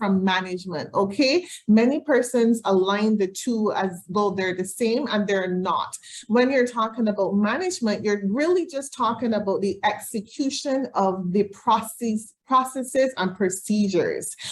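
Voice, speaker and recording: Breathy to some degree, a woman speaks with hardly any pauses in a fairly high voice with lively intonation. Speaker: leadership trainer. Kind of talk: webinar presentation. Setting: video call. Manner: fast; clear.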